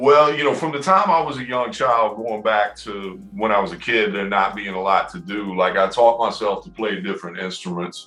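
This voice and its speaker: With music playing in the background, a man talks in a Southern US accent with hardly any pauses. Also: fairly low pitch for a man, ordinary pitch variation, moderate pace. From US South, Knoxville, Tennessee. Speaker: rapper and music producer. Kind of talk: interview. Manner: hesitant, many fillers.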